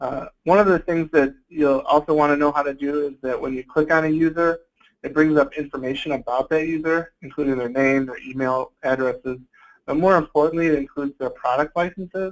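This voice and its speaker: A man talks at a fairly quick pace with a fairly high pitch and fairly even intonation. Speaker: IT consultant presenting a webinar. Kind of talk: webinar tutorial. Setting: online webinar. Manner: fast; hesitant with fillers.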